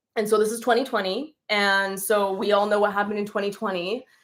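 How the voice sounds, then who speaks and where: In a General American accent, a woman speaks at a moderate pace in a plain, everyday voice. Her pitch is fairly high, and the recording is very clean with a silent background. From California. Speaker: dancer. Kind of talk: casual chat. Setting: livestream.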